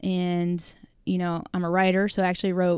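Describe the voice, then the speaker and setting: In a very clean recording with a silent background, a woman with an American accent talks at a moderate pace in a fairly low pitch, an ordinary speaking voice. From California, San Jose. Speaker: author. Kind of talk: interview testimony.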